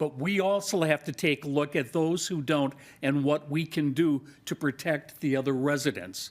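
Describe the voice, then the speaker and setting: Here a man speaks at a fairly slow pace. His pitch is fairly high, with ordinary pitch variation. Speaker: city council member. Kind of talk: council debate. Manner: boisterous, emphatic.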